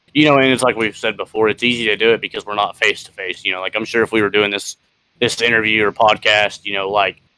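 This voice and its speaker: Loud and very fast, a man speaks with a bright, sharp tone. His pitch is fairly low and his intonation monotone and flat. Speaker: podcast co-host. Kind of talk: casual chat. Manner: halting, many fillers.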